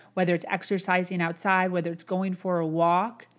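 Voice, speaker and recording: A woman with a Chicago accent and a medium-pitched voice is heard on a very clean recording with a silent background. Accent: Chicago American. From US Midwest, Chicago. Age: 30s. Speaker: motivational podcast host. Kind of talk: motivational monologue. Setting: home, camera on boxes.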